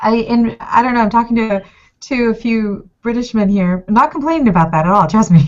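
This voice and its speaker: The woman's fairly high voice carries lively intonation. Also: fairly quick pace. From Mexico. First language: Spanish. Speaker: food blogger. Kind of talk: consulting chat on video call. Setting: video call. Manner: animated.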